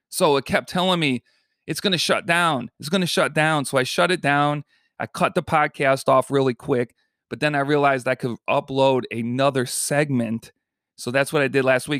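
Fairly high male voice at a moderate pace with ordinary pitch variation, dry and close with no echo, on a very clean recording with a silent background. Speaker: podcast host, Arizona tour guide. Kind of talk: casual monologue. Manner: unscripted, sometimes mumbling.

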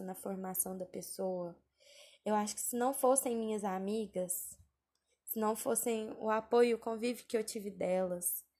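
The tone is dark and mellow. The pace is moderate. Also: woman. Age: 20s. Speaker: podcaster, communications worker. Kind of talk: casual personal monologue.

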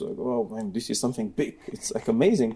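With a Bulgarian accent, a man talks at a fairly quick pace in a dark, mellow tone, his medium pitch moving in very wide swings. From Bulgaria (Sofia). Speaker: computer science professor. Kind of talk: interview.

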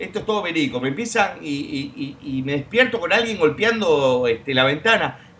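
Over noticeable background noise, a man talks at a moderate pace. His voice is raised and projected. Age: 30s. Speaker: YouTuber and radio show host. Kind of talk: casual chat. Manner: halting with frequent fillers.

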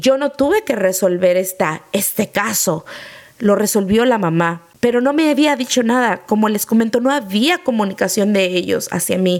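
Noticeable background noise sits under a woman whose pitch varies in an ordinary way. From Mexico. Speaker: podcast host, former nanny. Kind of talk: personal storytelling.

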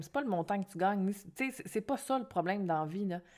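A woman with a Quebec accent at a medium pitch and fairly quick pace, in a very clean recording with a silent background. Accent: Québécois French. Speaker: podcast host, financial coach. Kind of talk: solo podcast monologue. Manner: animated.

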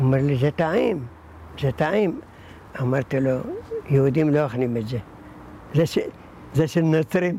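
A man's fairly high, somewhat breathy voice with a dark, mellow tone, at a moderate pace with long, frequent pauses. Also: ordinary pitch variation. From Iraq. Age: 80s+. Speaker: synagogue caretaker. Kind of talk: interview.

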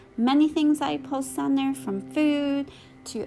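Over music in the background, a woman's voice moves through very wide pitch swings. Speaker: prayer video host. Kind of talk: fervent prayer. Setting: recorded with background music. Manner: earnest, heartfelt.

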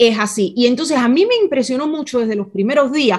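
A woman with a fairly high pitch, ordinary pitch variation and a fairly quick pace. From Cuba, Havana. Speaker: interpreter and small business owner. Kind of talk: interview.

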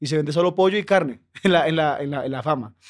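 A man's fairly high pitch with ordinary pitch variation, at a fairly quick pace. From Colombia, Bogotá. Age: 20s. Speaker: comedian. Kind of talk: casual chat.

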